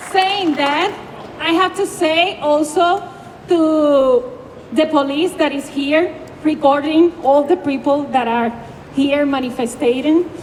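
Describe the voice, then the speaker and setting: A woman at high pitch in a Puerto Rican accent, speaking at a very slow pace over noticeable background noise. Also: ordinary pitch variation. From Puerto Rico. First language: Spanish. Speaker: grassroots activist. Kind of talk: protest speech. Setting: outdoors at street protest. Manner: halting.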